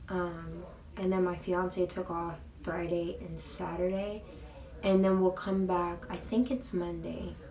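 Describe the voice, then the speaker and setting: A woman talks fairly slowly amid noticeable background noise, with audible room echo around her voice. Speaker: beauty and lifestyle vlogger. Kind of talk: casual vlog talk. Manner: casual, filler-heavy.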